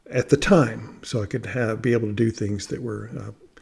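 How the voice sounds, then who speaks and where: A somewhat breathy male voice, fairly low in pitch, at a fairly quick pace. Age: 60s. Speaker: vlogger documenting a fast. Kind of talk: personal video diary. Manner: halting, many fillers and repetitions.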